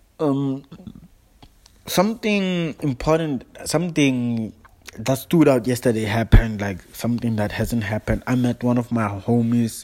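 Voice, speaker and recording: The man talks at a fairly slow pace. His pitch is medium and varies in an ordinary way. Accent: South African. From South Africa. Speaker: app broadcaster. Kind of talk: casual solo broadcast. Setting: app broadcast. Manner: halting, repeats words.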